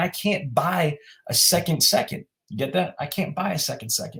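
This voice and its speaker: At a moderate pace, a man talks in a fairly high, animated tone with lively intonation. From New York City (Queens and Brooklyn). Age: 40s. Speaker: motivational speaker. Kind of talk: podcast interview. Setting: podcast recording.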